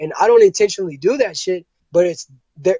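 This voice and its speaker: A man's high voice at a fairly quick pace with ordinary pitch variation, the sound dry and close with no echo. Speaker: rapper. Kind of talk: interview. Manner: fast.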